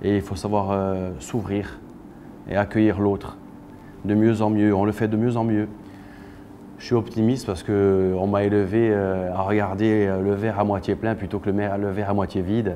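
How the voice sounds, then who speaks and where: A man's fairly low voice with a Corsican accent, at a moderate pace, with long, frequent pauses and monotone, flat intonation. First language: Corsican (speaking French). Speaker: singer-songwriter and actor. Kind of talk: interview monologue. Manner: halting, many hesitations.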